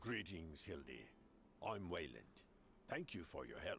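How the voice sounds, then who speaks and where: The speaker uses a put-on character voice with very wide pitch swings. Clear background noise can be heard. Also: man, very deep, low pitch for a man, moderate pace. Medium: video game.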